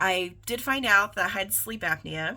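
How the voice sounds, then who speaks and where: A woman with an American accent, a bright, sharp tone and vocal fry. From US Midwest, East Central Indiana. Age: 40s. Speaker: vlogger. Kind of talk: personal vlog monologue.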